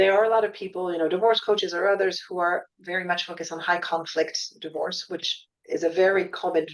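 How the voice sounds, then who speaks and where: A woman's medium-pitched voice, fairly quick, in a monotone, flat intonation. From France, Paris. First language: French. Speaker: divorce coach. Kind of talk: podcast interview. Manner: many false starts and repeated words.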